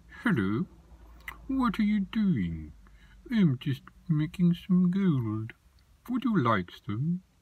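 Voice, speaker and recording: This put-on character voice sits at a middle pitch with very wide pitch swings, moving at a very slow pace with long, frequent pauses. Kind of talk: comic character dialogue. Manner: funny, friendly.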